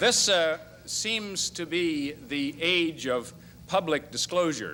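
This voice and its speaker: This man has a fairly high pitch and a bright, sharp tone. He talks at a very slow pace with ordinary pitch variation. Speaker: lawyer. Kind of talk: lecture.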